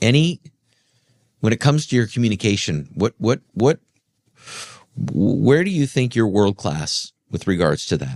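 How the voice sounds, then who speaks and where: A man's medium-pitched voice with vocal fry and very wide pitch swings, at a moderate pace with long, frequent pauses, in a dry, close sound with no echo. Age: 40s. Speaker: podcast host. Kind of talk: interview conversation. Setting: studio.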